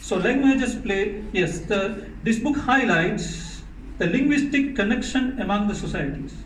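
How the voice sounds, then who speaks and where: A man speaks in a Tamil accent at a fairly slow pace with ordinary pitch variation. Audible room echo and noticeable background noise are present. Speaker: author. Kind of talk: speech at book launch.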